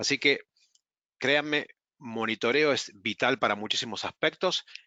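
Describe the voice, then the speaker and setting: Speaking fairly slowly with an Argentine accent, this man has a medium pitch and ordinary pitch variation. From Argentina. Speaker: webinar presenter. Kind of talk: webinar presentation. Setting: online webinar.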